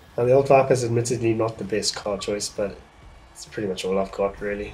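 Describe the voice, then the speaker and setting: Somewhat breathy speech at a fairly quick pace with fairly even intonation. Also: man. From South Africa. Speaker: gaming streamer. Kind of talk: casual livestream gameplay commentary. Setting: livestream.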